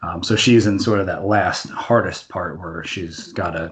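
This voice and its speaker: Here a man speaks at a fairly slow pace with a fairly low pitch. His voice is somewhat breathy. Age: 30s. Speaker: comic book writer. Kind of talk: interview.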